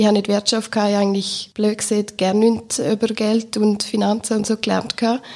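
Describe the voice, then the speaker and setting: A woman's fairly high voice, monotone and flat, at a fairly quick pace with very even loudness and hardly any pauses. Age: 20s. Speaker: bank marketing employee. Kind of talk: casual chat.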